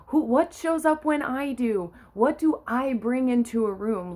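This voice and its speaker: Loud and with an animated tone, a woman talks at a fairly slow pace. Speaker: life coach. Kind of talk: motivational talk.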